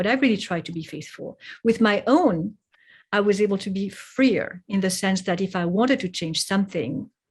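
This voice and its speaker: A woman with a French accent speaks at a moderate pace and medium pitch, sounding somewhat breathy. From Geneva, Switzerland and France. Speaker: poet and translator. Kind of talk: interview conversation. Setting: podcast.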